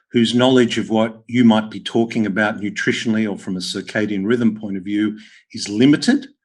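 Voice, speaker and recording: A man with an Australian accent speaks at a fairly quick pace and a medium pitch, his intonation flat and monotone. His loudness swings widely against a quiet background. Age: 60s. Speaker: podcast host, health practitioner. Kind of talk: interview conversation.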